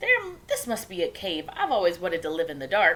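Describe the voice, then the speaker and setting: A female-sounding put-on character voice at a middle pitch, moving at a fairly quick pace. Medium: read story. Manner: wide-eyed, innocent.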